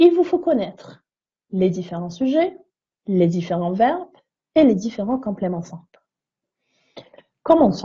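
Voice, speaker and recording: Somewhat breathy, a woman speaks at a fairly slow pace in a medium pitch with very wide pitch swings. Her loudness swings a lot, and she leaves long, frequent pauses. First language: neither French nor English (speaking French). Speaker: English teacher. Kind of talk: tutorial. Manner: hesitant, frequent fillers.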